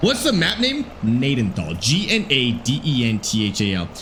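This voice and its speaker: Audible room echo and noticeable background noise surround a man speaking at a medium pitch with a slight Albertan accent. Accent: very mild Canadian (Alberta). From Alberta, Canada. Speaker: gaming streamer. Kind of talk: live stream chat.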